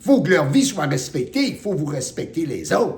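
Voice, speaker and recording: Loud and with a Quebec accent, a man talks with very wide pitch swings. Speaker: spiritual teacher. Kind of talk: spiritual talk. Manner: forceful.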